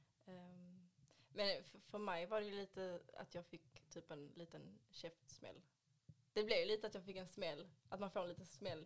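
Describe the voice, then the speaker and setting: A woman with a normal speaking voice talks at a fairly low pitch and fairly slow pace with fairly even intonation. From Sweden, Ystad (Skåne). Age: 20s. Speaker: beauty industry worker, adoptee. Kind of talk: casual chat.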